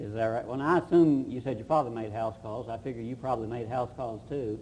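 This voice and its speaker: A man talks at a fairly quick pace and medium pitch. His voice is somewhat breathy. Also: ordinary pitch variation. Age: 40s. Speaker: local TV interviewer. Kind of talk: interview host.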